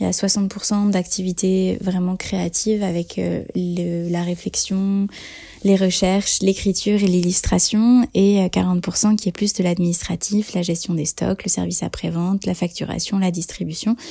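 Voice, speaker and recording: Speaking at a fairly slow pace, a woman uses a medium pitch and a dark, mellow tone that is somewhat breathy, her intonation monotone and flat. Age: 30s. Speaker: author-illustrator. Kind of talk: testimony. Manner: hesitant, many fillers.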